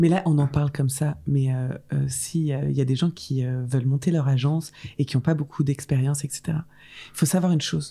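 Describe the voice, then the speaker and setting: At a moderate pace, a woman talks with a very deep, low pitch, a somewhat breathy quality, and a dark, mellow tone. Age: 30s. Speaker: event agency founder. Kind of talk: casual interview chat.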